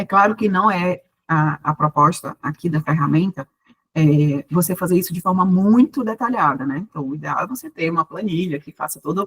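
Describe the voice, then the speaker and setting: In a dry, close sound with no echo, a woman talks with a fairly low, somewhat breathy voice. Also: ordinary pitch variation, moderate pace. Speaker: university professor, business mentor. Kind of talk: online workshop lecture.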